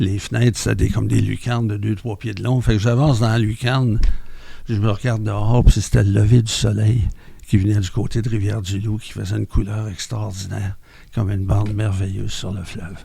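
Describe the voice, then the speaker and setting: Speaking at a fairly quick pace with a Quebec accent, a man has a fairly low pitch, a dark, mellow tone, a somewhat breathy quality and fairly even intonation. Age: 70s. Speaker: mental health centre member. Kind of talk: testimony.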